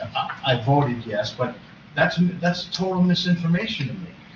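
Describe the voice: At a moderate pace, the speaker's fairly bright tone and lively intonation carry over audible room echo. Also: man, fairly high pitch for a man.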